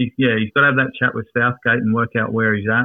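A man talks in an Australian accent. His pitch is medium and his intonation fairly even. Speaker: football fan. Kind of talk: casual chat. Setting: studio.

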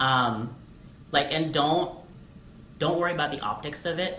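Speaking in a normal speaking voice, a man with an American accent sits at a fairly high pitch. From Alaska. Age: 20s. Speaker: English teacher. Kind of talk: casual chat.

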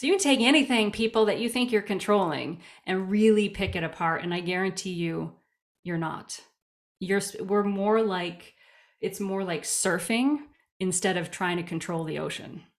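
This woman's voice has a medium pitch and ordinary pitch variation, and her pace is moderate. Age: 40s. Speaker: yoga and clarinet teacher, writer. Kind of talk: casual interview. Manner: animated.

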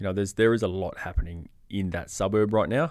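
On a very clean recording with a silent background, a man with an Australian accent speaks very fast in a fairly low voice. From Perth hills, Western Australia. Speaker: real estate agent. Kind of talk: casual interview.

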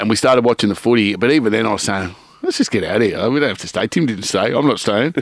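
The speech runs at a very fast pace in an Australian accent. Pitch variation is ordinary. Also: man, medium pitch for a man. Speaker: podcast co-host. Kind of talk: casual chat. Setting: studio.

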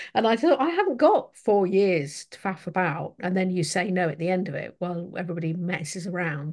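In an English accent, a woman with a medium pitch talks with hardly any pauses, ordinary pitch variation and big swings in loudness. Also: fairly quick pace. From England. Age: 50s. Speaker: podcast host, indie fantasy author. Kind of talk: casual interview chat. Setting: video call.

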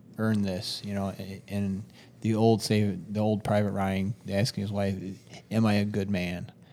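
A man speaks fairly slowly in a fairly low, dark, mellow voice with monotone, flat intonation. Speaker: recurring podcast guest. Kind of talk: casual chat.

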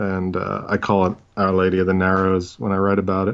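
A man's very deep, low voice with an American accent, monotone and flat, at a moderate pace. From New York City, Brooklyn. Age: 40s. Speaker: crime novelist. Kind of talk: casual chat.

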